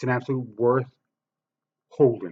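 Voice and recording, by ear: This man talks at a fairly slow pace. His pitch is medium, with a slightly husky edge.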